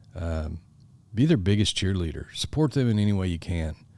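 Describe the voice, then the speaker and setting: Very deep, low male speech on a very clean recording against a silent background. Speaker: podcast host. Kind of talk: advice talk. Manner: fast.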